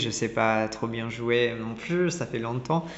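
A man talks at a very slow pace. There is audible echo from the room. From Italy, Milan. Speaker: designer and ceramicist. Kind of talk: interview. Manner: halting, many repetitions.

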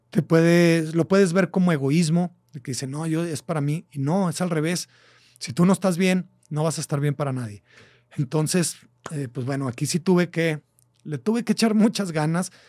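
A man's high-pitched voice in a Mexican accent, dark and mellow in tone, at a moderate pace with ordinary pitch variation, dry and close with no echo on a very clean recording with a silent background. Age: 40s. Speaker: podcast host. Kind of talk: casual monologue. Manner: animated.

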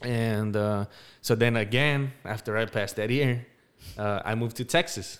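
An unremarkable speaking voice with an American accent moves at a moderate pace with fairly even intonation on a very clean recording with a silent background. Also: man, medium pitch for a man. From Denver, Colorado. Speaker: podcast co-host, military veteran. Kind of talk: casual chat.

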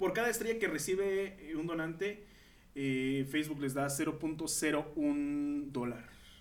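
Fairly high for a man, this voice comes with audible room echo. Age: 20s. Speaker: podcast host. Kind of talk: casual chat.

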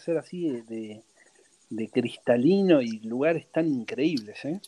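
With a Rioplatense accent, a man speaks at a moderate pace, his pitch fairly high for a man, his tone dark and mellow, and his intonation lively. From Argentina, Buenos Aires. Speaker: traveling family sailor, former theater owner. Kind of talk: casual interview.

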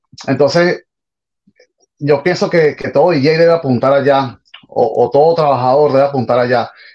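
A man speaks with fairly even intonation at a fairly high pitch. His speech has long, frequent pauses. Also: moderate pace. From Venezuela, Caracas. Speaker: salsa DJ. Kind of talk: interview. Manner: halting.

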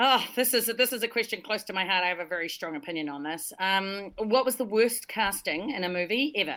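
In a New Zealand accent, a woman talks at a fairly quick pace with hardly any pauses, lively intonation, and a medium pitch with a bright, sharp tone. The recording is very clean with a silent background. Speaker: podcast co-host. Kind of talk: casual livestream chat.

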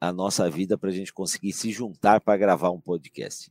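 The dry, close recording with no echo captures a man with a very deep, low pitch and ordinary pitch variation. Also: very clean recording, silent background. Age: 50s. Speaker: podcast host, biomedical imaging professional. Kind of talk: panel discussion.

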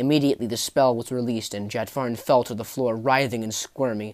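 Reading in an unforced voice

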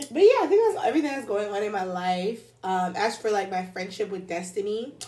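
A woman speaks at a fairly quick pace with a medium pitch and a dark, mellow tone. Her pitch varies in an ordinary way, and audible room echo surrounds her. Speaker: podcast co-host. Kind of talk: casual chat.

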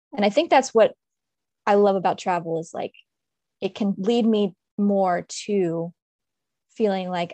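With an American accent and ordinary pitch variation, the voice comes through a dry, close sound with no echo against a quiet background. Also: woman. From Maryland, DC/Baltimore area. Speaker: writer and blogger. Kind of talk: casual chat. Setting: video call.

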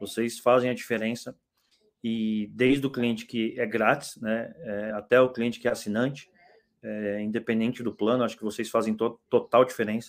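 Monotone and flat in intonation, a man talks at medium pitch and a moderate pace. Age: 40s. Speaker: startup founder. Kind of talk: casual chat.

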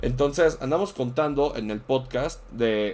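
A man with a Mexican accent. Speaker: streamer. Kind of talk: casual chat.

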